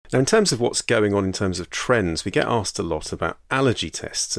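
A man with a British accent talks at a very fast pace with lively intonation, on a very clean recording with a silent background. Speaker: general practitioner podcast host. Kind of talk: solo educational monologue.

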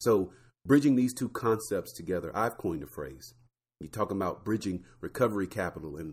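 A man's fairly low voice with vocal fry, lively intonation and big swings in loudness at a moderate pace, on a very clean recording with a silent background. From Florida. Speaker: podcast host, pharmacist. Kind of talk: solo podcast talk.

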